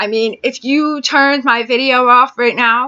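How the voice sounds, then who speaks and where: Her intonation is fairly even. The woman's pitch sits high. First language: ASL (deaf, lip-reads; speaks English). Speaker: deaf ASL vlogger. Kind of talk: personal vlog. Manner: casual, conversational.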